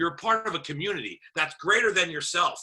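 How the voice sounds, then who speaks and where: A man talks loudly at a fairly quick pace. His tone is bright and sharp. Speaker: network marketing team leader. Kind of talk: video call.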